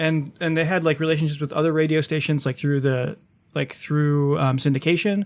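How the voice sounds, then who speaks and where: A man with an ordinary speaking voice talks at a fairly quick pace and fairly high pitch with fairly even intonation, in a very clean recording with a silent background. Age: 30s. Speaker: podcast host. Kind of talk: casual chat.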